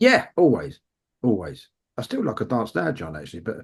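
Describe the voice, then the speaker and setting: A man's fairly quick speech with vocal fry, set against a quiet background. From London and Essex, England. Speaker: punk bassist. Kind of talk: interview chat.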